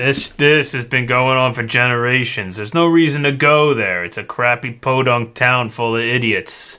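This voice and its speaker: A man puts on a gruff character voice at a medium pitch. He goes at a moderate pace in a very clean recording with a silent background. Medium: actual play. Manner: casual, gruff, streetwise, says yous.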